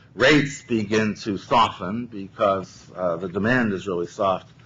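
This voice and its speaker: With a fairly low pitch and ordinary pitch variation, a man speaks at a moderate pace. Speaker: economist testifying as witness. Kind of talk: testimony at regulatory hearing. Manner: loud.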